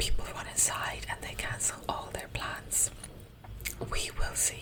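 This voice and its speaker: A woman whispers. Noticeable background noise runs underneath. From Russia, grew up in Ireland. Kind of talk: ASMR talk to camera. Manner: soft, whispering.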